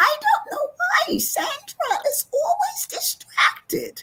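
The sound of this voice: A put-on character voice, squeaky and extremely high-pitched, speaks at a very slow pace.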